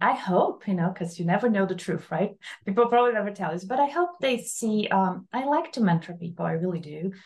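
In a Portuguese accent, a woman talks at a fairly quick pace with lively intonation. Her voice is somewhat breathy. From Brazil. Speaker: architect. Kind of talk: interview.

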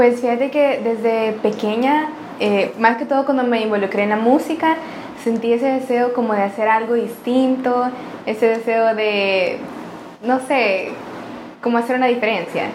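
Audible room echo and noticeable background noise surround the voice. A woman speaks at a fairly high pitch. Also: fairly even intonation. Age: 20s. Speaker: tech startup founder. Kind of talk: interview conversation. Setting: office.

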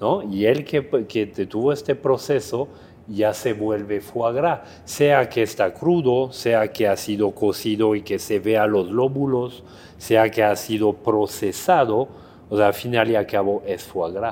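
A man with a French accent speaks at a very slow pace, his pitch medium and its variation ordinary. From France, Drôme-Ardèche. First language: French (speaking Spanish). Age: 40s. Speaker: chef. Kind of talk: casual interview.

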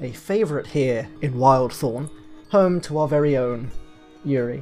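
A fairly slow pace in a British accent, with music in the background. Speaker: tabletop game master, podcast host. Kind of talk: storytelling narration.

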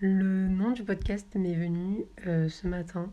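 A woman with a fairly low voice speaks in a monotone, with flat intonation. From southern France, Marseille. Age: 20s. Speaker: podcaster and student. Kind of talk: casual monologue. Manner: hesitant, many fillers.

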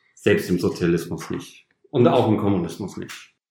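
In a room with audible echo, a man talks at a moderate pace with a very deep, low pitch. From northern Germany, Osnabrück. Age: 30s. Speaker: trainee retail clerk, former carpenter. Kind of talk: interview, personal story.

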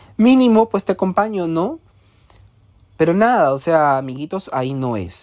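A man speaks in an animated tone at a moderate pace. The background is quiet. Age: 20s. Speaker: podcast host. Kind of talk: personal monologue.

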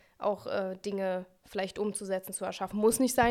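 In a very clean recording with a silent background, a woman speaks at a medium pitch. Her delivery is fairly quick and monotone, with flat intonation. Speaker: podcast co-host and singer. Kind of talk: casual chat. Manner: cheerful.

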